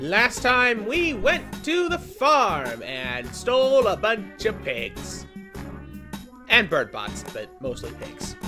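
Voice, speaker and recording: Music plays in the background as the speech moves at a very slow pace. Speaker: let's play gamer. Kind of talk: casual gameplay commentary.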